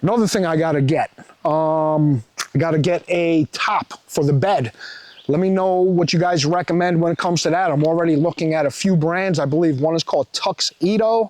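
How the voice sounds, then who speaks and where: A man with a New York accent talks at a moderate pace and high pitch in an animated tone with ordinary pitch variation. His loudness stays very even, and the sound is dry and close, with no echo. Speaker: truck vlogger. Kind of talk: casual vlog walkaround.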